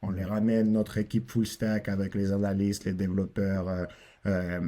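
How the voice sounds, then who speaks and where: Speaking at a moderate pace with fairly even intonation, a man with a Russian accent uses a fairly low pitch. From Russia, then southern France. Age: 20s. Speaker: AI consulting entrepreneur. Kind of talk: podcast interview. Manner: halting, with hesitations.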